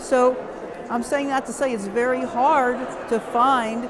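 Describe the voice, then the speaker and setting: A woman talks at a fairly high pitch, with audible room echo and noticeable background noise. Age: 70s. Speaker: nurse practitioner. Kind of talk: testimony.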